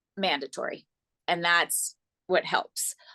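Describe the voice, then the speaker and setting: A loud voice with ordinary pitch variation comes through with a dry, close sound, no echo, and a quiet background. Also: woman. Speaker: yoga coach. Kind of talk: interview. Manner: animated.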